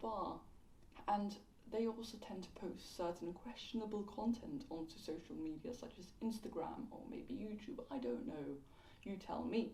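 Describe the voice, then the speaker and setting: A woman with a medium pitch talks at a moderate pace in a dark, mellow, somewhat breathy tone. Her intonation is lively, and room echo is audible. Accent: London. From London. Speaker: YouTube commentator. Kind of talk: casual video commentary. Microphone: poor audio quality.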